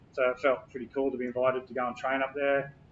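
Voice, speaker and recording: In an Australian accent, a man talks at a fairly quick pace. His pitch sits in the medium range. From Australia, Brisbane south side. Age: 40s. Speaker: hip hop artist and youth mentor. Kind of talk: interview. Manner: casual, halting with fillers.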